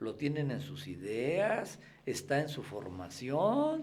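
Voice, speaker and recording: A man with a fairly high pitch speaks with very wide pitch swings. Audible room echo and noticeable background noise fill the recording. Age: 60s. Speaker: freemason guest. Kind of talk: interview conversation.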